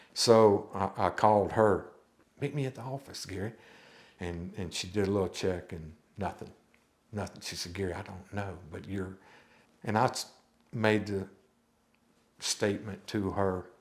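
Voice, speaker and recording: With a Louisiana accent, a man speaks at a moderate pace in a fairly low pitch, his intonation fairly even, his loudness swinging widely, and his pauses long and frequent. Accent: US Southern (Louisiana). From Louisiana (Baton Rouge area). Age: 60s. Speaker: church member sharing life story. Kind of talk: testimony. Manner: halting.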